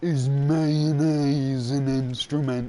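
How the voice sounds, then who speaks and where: This is a cartoonish character voice at a low-to-middle pitch. Its intonation is monotone and flat. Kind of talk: slow, dim-witted cartoon voice.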